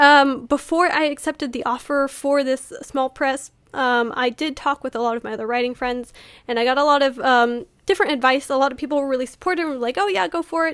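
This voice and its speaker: A woman with a high-pitched voice talks at a very fast pace in a very clean recording with a silent background. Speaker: author and YouTuber. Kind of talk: casual vlog talk to camera. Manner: hesitant, many fillers.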